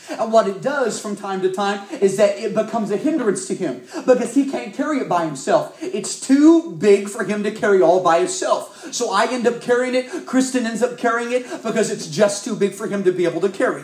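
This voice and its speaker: A man with an American accent, high in pitch, at a fairly quick pace with hardly any pauses and lively intonation, amid audible room echo and noticeable background noise. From US South, Arkansas. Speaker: youth evangelist. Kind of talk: sermon.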